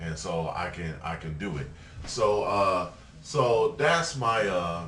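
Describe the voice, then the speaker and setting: In a room with audible echo and noticeable background noise, a man with a very deep, low voice speaks at a very slow pace with lively intonation. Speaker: video blogger. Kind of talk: casual vlog monologue. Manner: halting, many fillers.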